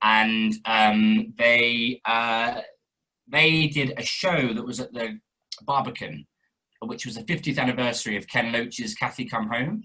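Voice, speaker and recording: A man's medium-pitched, bright, sharp voice at a fairly slow pace with ordinary pitch variation. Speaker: actor and director. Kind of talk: interview. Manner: hesitant, many fillers.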